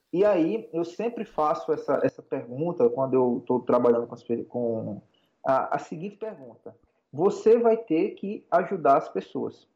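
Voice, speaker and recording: A man's high, dark, mellow voice with very wide pitch swings at a fairly slow pace. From Brazilian Northeast, interior of Alagoas. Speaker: digital marketing strategist and lecturer. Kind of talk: interview, casual explanatory chat.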